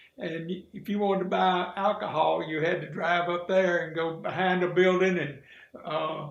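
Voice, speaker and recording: In a Mississippi accent, a man talks at a high pitch. Audible room echo and noticeable background noise come through. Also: fairly even intonation, moderate pace. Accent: US Southern (Mississippi). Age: 70s. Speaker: retired sheriff. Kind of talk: interview.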